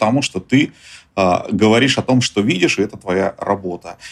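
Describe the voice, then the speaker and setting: This man speaks with ordinary pitch variation. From Russia. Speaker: journalist and tour business owner. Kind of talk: interview.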